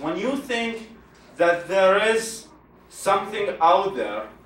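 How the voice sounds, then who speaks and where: Over noticeable background noise, a man talks very slowly in a high pitch. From Iraq. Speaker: secular activist, founder. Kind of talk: public talk.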